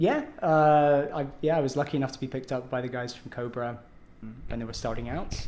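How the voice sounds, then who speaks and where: A man with a British accent talks at a fairly quick pace, medium in pitch and fairly even in intonation. Audible room echo and noticeable background noise fill the recording. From UK. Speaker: metal guitarist. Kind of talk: casual interview. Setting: backstage at a venue.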